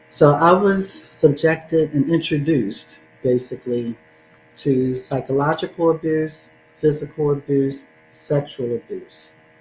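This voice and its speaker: Music plays in the background as a woman speaks at a fairly slow pace. Her pitch is very deep and low, with ordinary variation. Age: 60s. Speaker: domestic violence advocate and speaker. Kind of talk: testimony.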